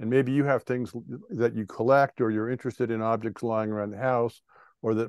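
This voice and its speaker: A man's voice with fairly even intonation, dry and echo-free against a quiet background. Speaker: presenter. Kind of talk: lecture. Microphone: video call.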